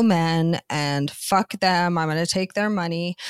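A woman's normal speaking voice, medium-pitched, in a Canadian accent, at a fairly slow pace with ordinary pitch variation, dry and close with no echo. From Canada. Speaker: author and adult performer. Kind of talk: interview conversation.

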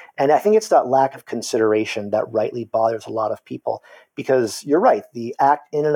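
Speaking at a fairly quick pace, a man is heard in a very clean recording with a silent background and a dry, close sound with no echo. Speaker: university lecturer and political scientist. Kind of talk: casual interview conversation.

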